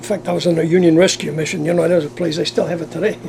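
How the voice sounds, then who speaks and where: A man speaks with a high voice. Background noise is noticeable. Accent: American. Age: 80s+. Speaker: retired navy veteran and former circus worker. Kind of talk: interview answer. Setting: moving railcar. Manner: lively, entertaining.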